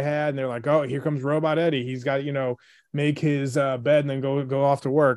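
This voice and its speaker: With a plain, everyday voice, a man speaks fairly quickly at a fairly high pitch, recorded very cleanly against a silent background. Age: 40s. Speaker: fatherhood blogger and stay-at-home dad. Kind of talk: casual chat.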